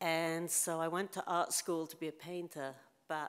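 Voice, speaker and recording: In a British accent, a woman speaks with a fairly low pitch. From England, London. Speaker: photographer. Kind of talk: lecture. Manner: casual.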